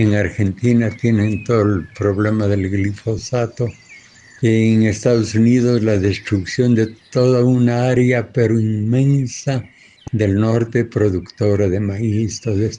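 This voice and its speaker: Speaking very slowly at medium pitch, a man holds a flat, monotone intonation and very even loudness. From Ecuador. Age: 80s+. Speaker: farmer. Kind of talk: interview.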